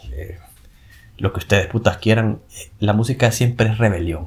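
There's a somewhat breathy sound to this man's voice. His pitch varies in an ordinary way. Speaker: podcast host. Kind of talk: casual monologue. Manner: animated; halting, frequent filler and repetitions.

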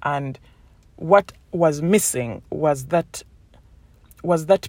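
With a Ugandan accent, a woman speaks in an animated tone with lively intonation, sounding dry and close with no echo on a very clean recording with a silent background. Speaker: podcast host. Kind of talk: solo motivational podcast monologue. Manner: animated, conversational, with fillers and repetitions.

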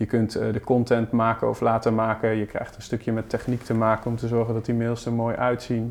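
A man talks at a fairly quick pace in a flat, monotone way. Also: medium pitch for a man, hardly any pauses. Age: 30s. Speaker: digital marketing specialist. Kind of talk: podcast interview.

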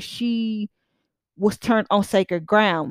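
On a very clean recording with a silent background and a dry, close sound with no echo, a woman speaks in an animated tone with ordinary pitch variation. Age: 20s. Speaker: podcaster. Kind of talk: casual monologue.

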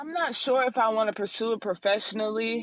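With a dry, close sound and no echo, a woman talks at a moderate pace in an ordinary speaking voice of fairly high pitch. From North Carolina (Durham). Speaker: college basketball player. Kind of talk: interview.

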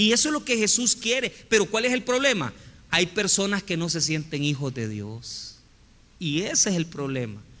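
In a Salvadoran accent, a man with a high pitch and a bright, sharp tone speaks at a moderate pace, his pitch swinging very widely. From El Salvador. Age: 40s. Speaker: pastor. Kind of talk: sermon.

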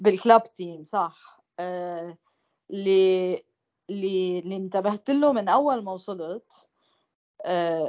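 At a very slow pace, a woman speaks at medium pitch with ordinary pitch variation and big swings in loudness. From Lebanon. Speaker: former football player. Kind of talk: casual chat.

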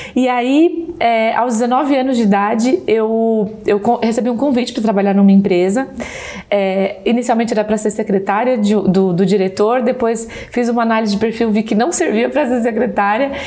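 Over noticeable background noise, a woman with a fairly high pitch speaks at a moderate pace and a very even loudness. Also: ordinary pitch variation. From Brazil. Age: 30s. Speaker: insurance saleswoman and sales mentor. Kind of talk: podcast interview.

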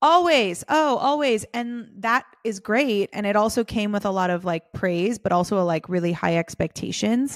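Using a plain, everyday voice, a woman talks at medium pitch with lively intonation and hardly any pauses. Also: moderate pace. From US, Southern California. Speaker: business coach. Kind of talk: casual interview chat.

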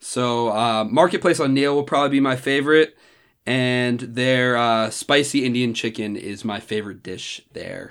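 A man with an American accent and a normal speaking voice, medium in pitch, at a moderate pace with ordinary pitch variation, on a very clean recording with a silent background. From New Jersey (Randolph, near New York City). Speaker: college student. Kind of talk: casual chat.

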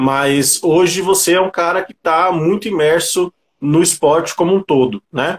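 A man with a plain, everyday voice and a fairly high pitch speaks with ordinary pitch variation in a dry, close sound with no echo. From São Paulo, Grajaú (south zone). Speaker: livestream host. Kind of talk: casual interview on a livestream.

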